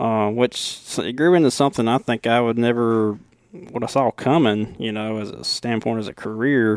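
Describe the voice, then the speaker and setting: With a strong Southern US accent, a man speaks at a moderate pace and with fairly even intonation. The sound is dry and close with no echo, on a very clean recording with a silent background. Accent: deep Southern. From Alabama. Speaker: lawn care business owner. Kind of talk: podcast interview. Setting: hotel room.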